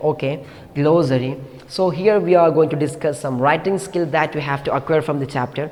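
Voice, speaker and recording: Audible room echo fills the recording. Noticeable background noise is present as well. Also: man. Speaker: teacher. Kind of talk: lecture. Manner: fast.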